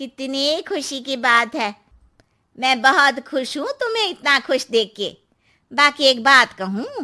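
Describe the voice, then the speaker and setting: A cartoonish character voice with lively intonation moves at a fairly slow pace in a very clean recording with a silent background. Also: woman, high pitch for a woman. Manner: knowing, cautionary.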